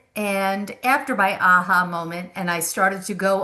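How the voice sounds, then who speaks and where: Talking fairly slowly, a woman uses a bright, sharp tone at a medium pitch. She has an American accent. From Long Island, New York. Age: 60s. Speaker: memoir author and insurance agent. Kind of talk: podcast interview. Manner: conversational, halting.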